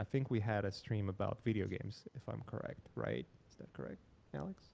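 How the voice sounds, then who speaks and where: Lively intonation marks a man speaking at a fairly low pitch with a Polish accent. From Poland. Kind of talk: casual interview. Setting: live stream.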